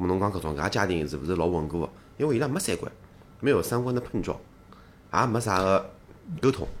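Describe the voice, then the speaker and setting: Using a normal speaking voice, a man with a fairly low pitch talks at a fairly quick pace with lively intonation. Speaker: co-host filling in. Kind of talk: casual chat.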